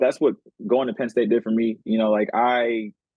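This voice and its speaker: Using an unremarkable speaking voice, a man keeps a moderate pace at medium pitch. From Oakland, California. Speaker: podcast host. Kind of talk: casual chat.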